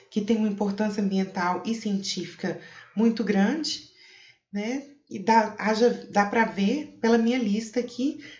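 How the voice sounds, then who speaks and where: Over audible room echo, a woman talks very slowly at a fairly high pitch with ordinary pitch variation. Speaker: cave researcher, geographer. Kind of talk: conference talk. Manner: hesitant, many fillers.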